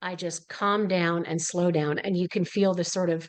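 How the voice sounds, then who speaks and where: A woman with an unremarkable speaking voice talks at a moderate pace, her fairly low pitch held in fairly even intonation. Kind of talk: educational webinar talk.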